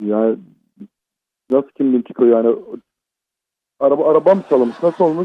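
Speaking at a fairly quick pace yet with long, frequent pauses, a man with a fairly high pitch shows ordinary pitch variation. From Izmir. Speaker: prank call victim. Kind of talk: phone call. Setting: phone call. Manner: halting. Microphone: muffled phone line.

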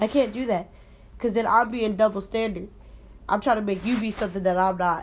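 An ordinary speaking voice moves at a fairly quick pace. Its intonation stays fairly even. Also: woman, fairly high pitch for a woman. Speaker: podcast co-host. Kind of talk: casual chat.

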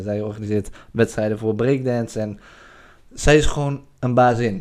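A man at medium pitch with monotone, flat intonation, at a moderate pace on a very clean recording with a silent background. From Drenthe, Netherlands. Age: 20s. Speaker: podcast host. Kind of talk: video podcast intro and outro; casual interview.

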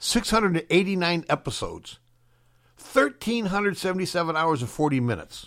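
On a very clean recording with a silent background, a man with an American accent and a high pitch speaks at a fairly quick pace. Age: 60s. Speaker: radio host. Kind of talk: casual chat. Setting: studio.

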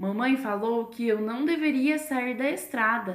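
Her pitch is fairly high and varies in an ordinary way. The woman speaks at a fairly slow pace. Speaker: storyteller podcast co-host. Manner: sweet, animated, childlike character voices.

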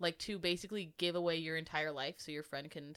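Her pitch sits fairly low for a woman. She talks at a moderate pace. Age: 20s. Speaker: book podcast co-host. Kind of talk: casual chat. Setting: home recording. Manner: animated.

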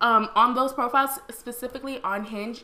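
A woman talks in an unremarkable speaking voice. Her pace is moderate and her intonation fairly even. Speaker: podcast co-host. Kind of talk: casual chat.

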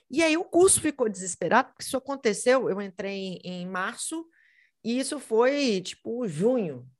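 A fairly high-pitched woman at a moderate pace with very wide pitch swings, in a very clean recording with a silent background. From Minas Gerais, Brazil (Belo Horizonte). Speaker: teacher. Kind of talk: interview.

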